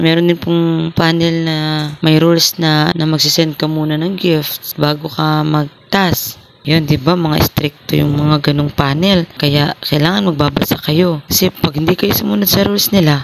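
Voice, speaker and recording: Against noticeable background noise, a soft-spoken woman with a very deep, low voice talks at a moderate pace with hardly any pauses, ordinary pitch variation and very even loudness. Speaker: vlogger. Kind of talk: tutorial.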